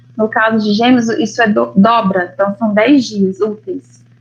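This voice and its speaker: A woman speaks at a fairly slow pace in a fairly high voice, with music playing in the background. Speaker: family lawyer. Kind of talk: lecture.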